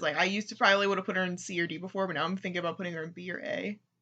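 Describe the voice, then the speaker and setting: The voice mumbles. Its pitch varies in an ordinary way. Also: woman. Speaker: gaming YouTuber. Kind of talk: casual chat. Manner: mumbling.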